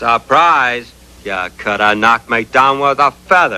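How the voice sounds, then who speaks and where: In a put-on character voice with a Western US accent, a man drawls at a fairly slow pace and medium pitch, with a dry, close sound and no echo. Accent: rural western drawl. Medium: cartoon. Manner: folksy, drawling, cocky.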